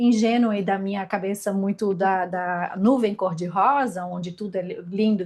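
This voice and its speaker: Somewhat breathy speech at a moderate pace. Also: woman. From southern Brazil, Florianópolis. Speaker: podcast guest, emigrant. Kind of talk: casual chat. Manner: halting, many repetitions.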